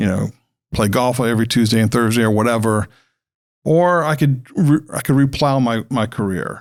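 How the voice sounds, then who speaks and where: A man with a plain, everyday voice at medium pitch, moderate pace and ordinary pitch variation, on a very clean recording with a silent background. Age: 60s. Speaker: school founder, former marketing consultant. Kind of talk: podcast interview. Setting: studio.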